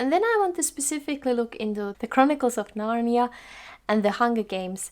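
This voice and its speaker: The speaker has a Finnish accent. The intonation is lively. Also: woman. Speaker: video blogger. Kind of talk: tutorial.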